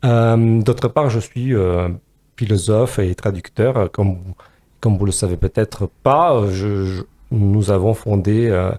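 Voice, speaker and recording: Speaking at a very slow pace, a man uses a fairly low pitch and dark, mellow tone with ordinary pitch variation, in a dry, close sound with no echo. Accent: slight Romanian. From Romania. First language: Romanian (speaking French). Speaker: philosopher and podcast co-host. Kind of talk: podcast discussion. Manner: hesitant, many fillers.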